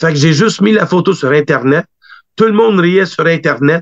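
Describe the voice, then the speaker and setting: The speaker is a man with a Quebec accent. The sound is dry and close, with no echo. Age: 40s. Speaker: wrestling booker and promoter. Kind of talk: interview.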